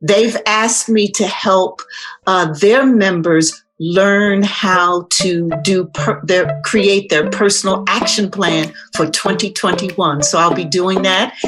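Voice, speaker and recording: A woman's very slow, medium-pitched speech with an American accent, ordinary pitch variation and very even loudness, music in the background. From New Jersey, US. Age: 70s. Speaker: leadership strategist and author. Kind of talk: interview.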